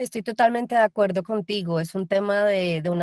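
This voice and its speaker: A woman's unremarkable speaking voice at a fairly quick pace, with ordinary pitch variation and a dry, close sound with no echo. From Colombia. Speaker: voice actor. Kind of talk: panel discussion. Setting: video call.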